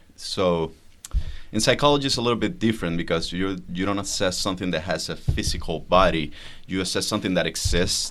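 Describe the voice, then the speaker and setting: Using a very deep, low pitch, a man speaks at a fairly quick pace with lively intonation. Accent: Spanish. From Venezuela. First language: Spanish. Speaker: psychologist, guest. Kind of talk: casual chat.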